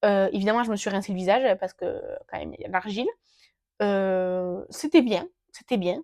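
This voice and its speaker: A woman speaks in a fairly high voice. The recording sounds dry and close, with no echo. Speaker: beauty vlogger. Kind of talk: casual product review vlog. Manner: fast; hesitant, many filler sounds. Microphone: new gifted mic, unsure if working.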